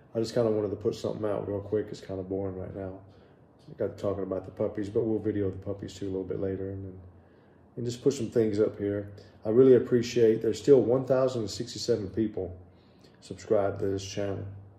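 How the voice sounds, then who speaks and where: Speaking very fast, a man with a fairly low pitch sounds somewhat breathy, with a dark, mellow tone and big swings in loudness. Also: fairly even intonation. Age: 60s. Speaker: vlogger. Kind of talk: casual vlog update. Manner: casual, hesitant with fillers.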